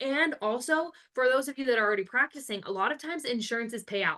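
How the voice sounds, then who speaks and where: A woman with an American accent speaks at a very fast pace, her tone bright, sharp and animated. Her intonation is lively. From Arizona, US. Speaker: family nurse practitioner, educator. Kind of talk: live webinar lecture. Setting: online webinar.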